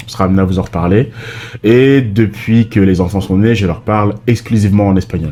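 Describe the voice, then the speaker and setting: A man's fairly low-pitched voice with a dark, mellow tone, at a fairly quick pace, with fairly even intonation and very even loudness. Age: 30s. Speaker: vlogger, father. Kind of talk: casual chat.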